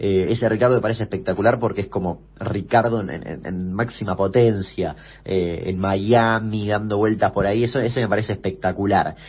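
Somewhat breathy speech moves at a moderate pace with fairly even intonation and hardly any pauses. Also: man, fairly low pitch for a man. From Argentina, Chaco. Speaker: youtuber and podcast host. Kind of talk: interview. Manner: hesitant, with fillers.

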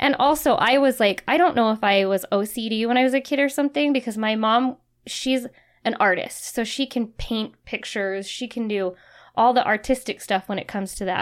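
Speaking at a fairly quick pace in an American accent, a woman has an unremarkable speaking voice, fairly high pitch and ordinary pitch variation, on a very clean recording with a silent background. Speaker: remodeling business owner. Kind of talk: casual chat.

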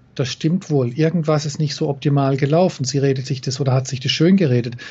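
A somewhat breathy man's voice, fairly high in pitch, at a fairly quick pace with fairly even intonation. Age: 50s. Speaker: NLP trainer and coach. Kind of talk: interview.

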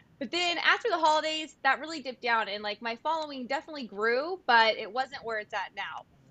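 A woman's high-pitched, raised, projected voice in a Californian accent, with lively intonation at a fairly quick pace. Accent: Californian American. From US West Coast, San Diego. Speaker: content creator and former event planner. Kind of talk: casual chat.

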